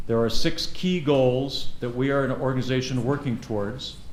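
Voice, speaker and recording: In a room with audible echo, a man speaks with fairly even intonation. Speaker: forum moderator. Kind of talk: event moderation speech. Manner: loud.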